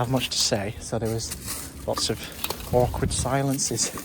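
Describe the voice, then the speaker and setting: A British accent over noticeable background noise. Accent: British accent, noted by self. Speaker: litter-picking vlogger. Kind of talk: casual vlog talk to camera. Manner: hesitant, many fillers.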